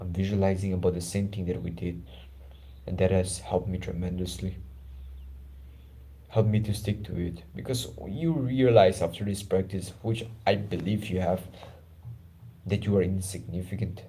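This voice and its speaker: Amid audible room echo, a man with a very deep, low pitch and a dark, mellow, somewhat breathy tone speaks at a moderate pace with fairly even intonation and long, frequent pauses. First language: not English (English is his third language). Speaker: self-improvement YouTuber. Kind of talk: guided meditation and personal talk. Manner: casual, informal.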